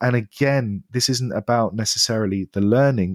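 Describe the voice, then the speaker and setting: Over a very clean recording with a silent background and a dry, close sound with no echo, a man talks at medium pitch and a moderate pace with fairly even intonation. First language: French or another non-English language. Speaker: education technology founder. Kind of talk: podcast interview.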